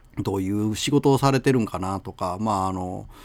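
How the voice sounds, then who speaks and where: Male speech, very clean recording, silent background. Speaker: radio host. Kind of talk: casual radio talk. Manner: halting, many fillers.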